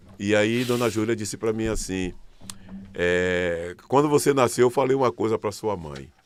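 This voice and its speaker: This is a plain, everyday voice moving at a moderate pace with ordinary pitch variation. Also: man. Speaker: artist. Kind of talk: podcast interview.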